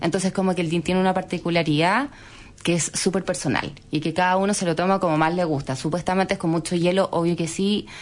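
A woman with a fairly low voice speaks very fast, her loudness very even and her intonation fairly even. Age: 30s. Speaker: entrepreneur. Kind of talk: interview.

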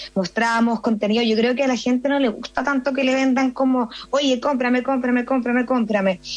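Fairly quick, fairly even in intonation, a woman's high pitch over noticeable background noise. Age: 20s. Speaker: entrepreneur, fashion brand founder. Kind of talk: radio interview.

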